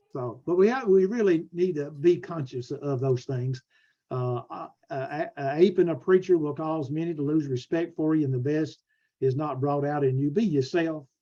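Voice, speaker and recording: This man speaks in a Southern US accent. His voice is fairly high with a dark, mellow tone. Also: ordinary pitch variation. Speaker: preacher and preaching school teacher. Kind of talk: lecture. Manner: fast; halting.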